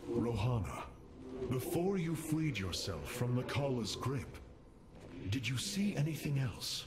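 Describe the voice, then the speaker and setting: A man puts on a character voice at medium pitch, speaking at a fairly slow pace with long, frequent pauses amid clear background noise and clear echo. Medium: video game. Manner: grave, measured.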